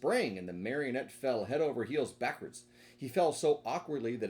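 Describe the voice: Reading aloud, plain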